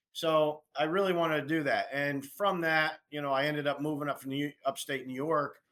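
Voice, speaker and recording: A man with an American accent speaks at a moderate pace with hardly any pauses. His tone is bright and sharp, and his intonation monotone and flat. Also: very clean recording, silent background. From Pennsylvania. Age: 60s. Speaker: firearms maker, gunsmith. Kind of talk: podcast interview. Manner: halting, many restarts.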